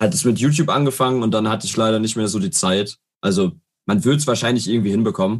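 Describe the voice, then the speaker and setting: The speaker has an unremarkable speaking voice with lively intonation. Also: man. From Ruhr area, Germany (Herne). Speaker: football fan guest. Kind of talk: casual chat.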